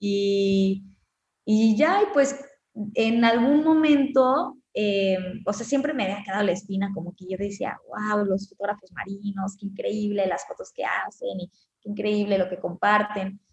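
At a fairly slow pace, a woman speaks at medium pitch, somewhat breathy, with ordinary pitch variation. Her loudness swings widely. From Mexico, Cancún. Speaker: underwater photographer and filmmaker. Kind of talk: interview. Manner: halting, many fillers.

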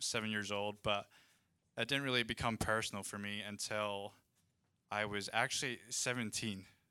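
A man speaks with a Scottish accent. His tone is bright and sharp. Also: very clean recording, silent background. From Scotland. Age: 20s. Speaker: ministry student. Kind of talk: testimony. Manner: halting.

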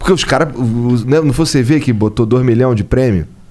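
The speaker is a man. He talks with a Carioca accent. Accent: carioca Brazilian Portuguese. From Rio de Janeiro, Brazil (north zone). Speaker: podcast co-host. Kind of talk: casual podcast interview. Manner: slangy, casual.

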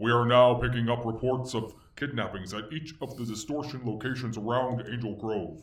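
A man performs a booming, put-on character voice at medium pitch. Audible echo surrounds it. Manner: booming, commanding.

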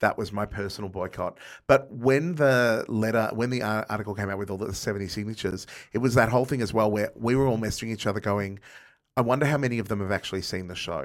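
With an Australian accent, a man talks very fast in a fairly low pitch with ordinary pitch variation, recorded very cleanly against a silent background. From Melbourne, Australia. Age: 40s. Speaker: comedian and cabaret performer. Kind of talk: casual chat.

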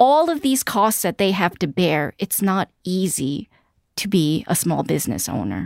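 In a very clean recording with a silent background and a dry, close sound with no echo, a woman with an American accent talks at a fairly slow pace and medium pitch, using vocal fry and very wide pitch swings. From New York City, Queens. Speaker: news editor and real estate journalist. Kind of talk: interview conversation.

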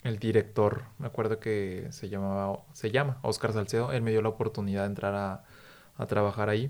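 A man talks at a medium speed. The background is silent, and the recording is very clean. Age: 30s. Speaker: podcast host, TV news communicator. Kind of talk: casual chat.

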